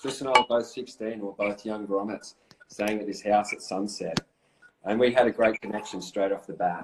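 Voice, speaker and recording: A man with an Australian accent and a fairly low pitch speaks at a moderate pace, his loudness swinging widely. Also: fairly even intonation. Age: 40s. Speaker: former pro surfer. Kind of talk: casual interview. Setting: Instagram live video call.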